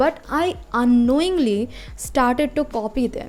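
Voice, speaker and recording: A woman with a non-native accent speaks at a high pitch in a dark, mellow tone, with ordinary pitch variation. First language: not English. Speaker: small business owner, digital artist. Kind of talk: casual talk to camera.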